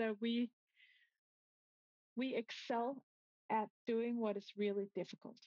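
Close and dry with no echo, a woman speaks at a fairly slow pace in a fairly high pitch, her tone slightly mellow and her pitch variation ordinary.

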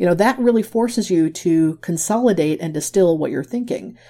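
Lively in intonation, a woman with a Midwestern accent talks at a fairly quick pace in a fairly low, dark, mellow voice. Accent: American (Midwest). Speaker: graphic facilitator and author. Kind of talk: interview.

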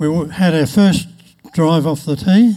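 A man speaks in a dark, mellow tone with ordinary pitch variation. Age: 80s. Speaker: church member giving testimony. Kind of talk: testimony. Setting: church.

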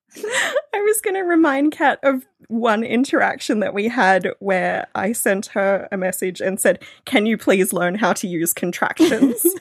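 A woman with an Australian accent, fairly high in pitch, fairly slow, with very wide pitch swings. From Australia, northeast New South Wales. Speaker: podcast producer and radio broadcaster. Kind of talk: casual chat.

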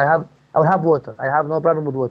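The speaker is a man with a fairly high pitch. His pitch variation is ordinary. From Palestine, West Bank village. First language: Arabic. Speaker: permaculture farmer. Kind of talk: interview. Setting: phone call. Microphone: poor phone line, digital interference.

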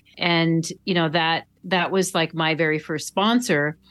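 In an American accent, a woman with an ordinary speaking voice talks at a fairly slow pace, with fairly even intonation and fairly low pitch. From Minnesota, Duluth. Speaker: cycling wheel company founder, former triathlete. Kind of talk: interview.

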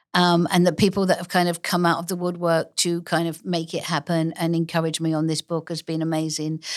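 This woman speaks in an English accent at a fairly low pitch, with monotone, flat intonation. Her pace is fairly quick, with hardly any pauses. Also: very clean recording, silent background. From Essex, England. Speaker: author and illustrator. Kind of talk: casual interview chat. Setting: studio.

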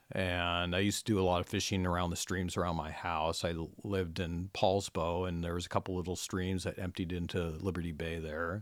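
A man with an American accent speaks at a fairly quick pace with hardly any pauses, in a very deep, low, monotone voice with flat intonation. The recording is very clean, with a silent background. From US Pacific Northwest, Washington. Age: 60s. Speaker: steelhead angler and conservationist. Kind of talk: casual chat.

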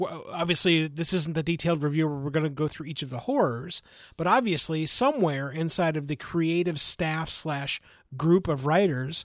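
A man with a fairly high pitch has an ordinary speaking voice. He talks at a moderate pace with ordinary pitch variation. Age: 40s. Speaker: podcast co-host. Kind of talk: casual chat.

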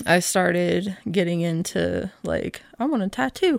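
The speaker is a woman with an American accent. She talks very slowly. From Oklahoma City. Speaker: tattoo artist. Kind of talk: casual chat.

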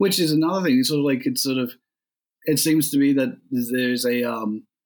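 This man speaks in a medium pitch. He has an Australian accent. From rural New South Wales, Australia. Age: 30s. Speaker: podcast interviewer. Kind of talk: interview. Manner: halting.

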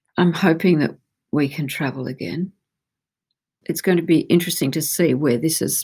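Speaking with an Australian accent, a woman has a very deep, low pitch and fairly even intonation at a moderate pace. The recording is very clean and the background silent. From Australia, Melbourne. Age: 60s. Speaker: gallerist. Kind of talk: interview.

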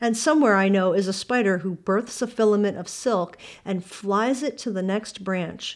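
An ordinary speaking voice from a woman, medium in pitch with ordinary variation, at a moderate pace on a very clean recording with a silent background. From Pennsylvania, US.

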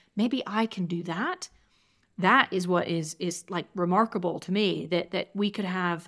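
A woman with an American accent at medium pitch, with ordinary pitch variation and a moderate pace, in a very clean recording with a silent background. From Georgia, US South. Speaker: tech community founder. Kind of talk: interview. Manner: halting, many fillers.

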